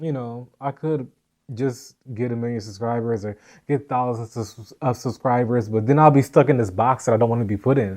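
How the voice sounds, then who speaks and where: A man with an unremarkable speaking voice talks at a medium pitch and a moderate pace. His intonation is fairly even, and the background is quiet. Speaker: podcast host and vlogger. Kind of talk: casual chat.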